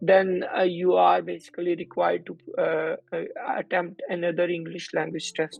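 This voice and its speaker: Noticeable background noise runs through the clip. The man speaks at a moderate pace. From Pakistan. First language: not English. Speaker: doctor. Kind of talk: interview explaining a process. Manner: halting, with fillers.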